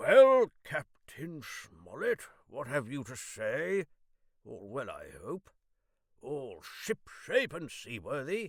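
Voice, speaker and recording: A man does a put-on character voice at a high pitch with big swings in loudness. He speaks at a very slow pace in a dry, close sound with no echo. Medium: read story. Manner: impulsive, indignant.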